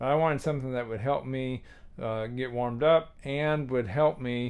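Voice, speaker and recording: A man's plain, everyday voice at medium pitch, moderate pace, and fairly even intonation. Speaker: tuba teacher. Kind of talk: tutorial.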